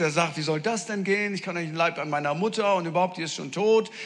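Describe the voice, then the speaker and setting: With ordinary pitch variation, a man's voice comes through noticeable background noise. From northern Germany. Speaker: preacher. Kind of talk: sermon. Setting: church with audience. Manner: animated.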